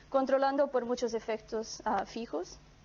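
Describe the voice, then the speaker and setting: A woman's high-pitched voice at a fairly slow pace, with a non-native accent. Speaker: economics researcher. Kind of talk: academic conference presentation. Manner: reading from script, halting with fillers.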